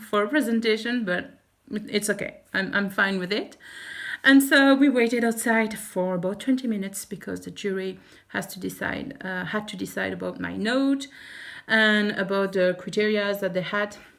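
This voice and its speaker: Loudness swings widely as a woman with a French accent speaks at a moderate pace, her medium pitch showing ordinary variation. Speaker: teacher and vlogger. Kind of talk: vlog. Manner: halting.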